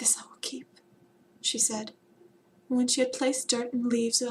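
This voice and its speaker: A soft-spoken woman talks at a moderate pace in a high voice. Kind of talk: read fairy tale, ASMR.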